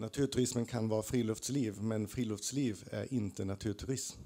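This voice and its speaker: The tone is dark and mellow, delivered at a fairly slow pace with fairly even intonation. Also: man. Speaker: audience member, researcher; audience member. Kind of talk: audience comment. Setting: stage with audience. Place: hall.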